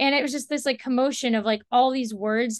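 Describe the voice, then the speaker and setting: A high-pitched woman with an American accent, over a quiet background. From US, Washington D.C. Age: young. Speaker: playwright and climate activist. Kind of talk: interview.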